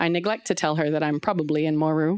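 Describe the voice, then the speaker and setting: This woman talks very fast. Her voice sits fairly low. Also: very clean recording, silent background. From East Africa. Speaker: conservation scientist. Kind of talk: personal story told on stage. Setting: stage with audience.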